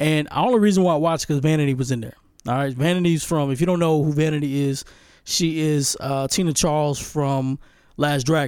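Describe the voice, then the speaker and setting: The man's tone is animated. His pitch sits fairly high. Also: very clean recording, silent background. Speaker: podcast host, movie reviewer. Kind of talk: casual solo movie review.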